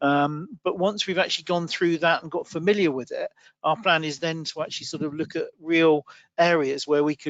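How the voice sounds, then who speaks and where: A man with a British accent, fairly high in pitch, at a moderate pace. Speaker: IT manager at a recruitment firm. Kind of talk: panel discussion.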